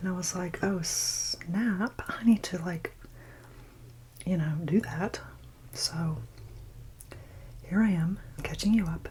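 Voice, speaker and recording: A soft-spoken woman with a nervous tone at a very slow pace, with long, frequent pauses, ordinary pitch variation and noticeable background noise. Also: medium pitch for a woman. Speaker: ASMR content creator. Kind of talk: soft-spoken ASMR chit chat while eating. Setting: close-mic eating sounds. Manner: soft-spoken, quiet, a bit nervous.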